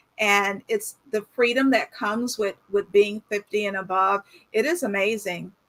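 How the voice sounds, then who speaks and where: A woman talks in a plain, everyday voice at a medium pitch. Her pitch variation is ordinary, and she goes at a fairly slow pace. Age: 60s. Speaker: fashion platform founder. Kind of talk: casual video chat interview.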